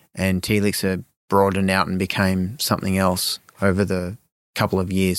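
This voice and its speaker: In a very clean recording with a silent background, a man with an Australian accent speaks at a moderate pace and a fairly low pitch. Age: 40s. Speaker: supplement company co-founder. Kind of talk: interview. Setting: studio. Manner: hesitant with many fillers.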